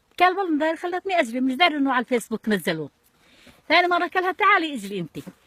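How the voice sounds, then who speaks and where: Very fast and high-pitched, a woman's voice swings very widely in pitch, recorded dry and close with no echo. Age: 70s. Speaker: elderly woman interviewee. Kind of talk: casual chat, storytelling.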